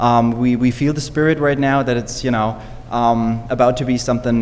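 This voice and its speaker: Speaking fairly quickly with a German accent, a man keeps a medium pitch and a monotone, flat intonation, with audible room echo and noticeable background noise. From Germany. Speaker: teacher. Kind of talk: public speech at council meeting. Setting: city council meeting.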